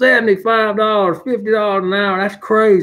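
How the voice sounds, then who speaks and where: A man talks with a strong Southern US accent. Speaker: handyman. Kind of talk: casual livestream chat. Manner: rambling with many fillers.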